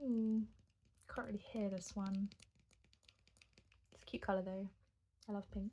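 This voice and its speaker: A soft-spoken woman talks at a moderate pace and medium pitch with fairly even intonation. Her loudness swings widely, and she takes long, frequent pauses. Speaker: ASMR creator. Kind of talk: ASMR soft-spoken rambling.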